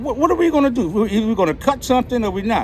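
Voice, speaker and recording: Speaking with a Philadelphia accent, a man talks at a very fast pace and an extremely high pitch with lively intonation. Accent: Philadelphia American English. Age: 60s. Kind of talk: street interview answer.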